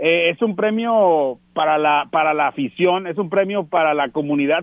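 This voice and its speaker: A man's ordinary speaking voice, pitched fairly high, at a moderate pace with ordinary pitch variation. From Tijuana, Mexico. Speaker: baseball radio broadcaster. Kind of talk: casual interview.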